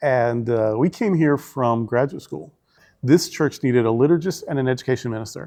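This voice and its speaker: A man with a Southern US accent, medium pitch, ordinary pitch variation and a dark, mellow tone, at a moderate pace over a quiet background. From Arkansas, US South. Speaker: senior minister. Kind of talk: interview.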